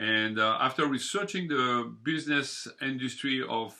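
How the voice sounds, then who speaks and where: This man has a bright, sharp tone. His pitch varies in an ordinary way. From southern France. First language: French. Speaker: bakery owner. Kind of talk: interview.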